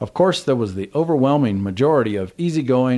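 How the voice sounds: The reading voice is natural, and its intonation stays lively throughout.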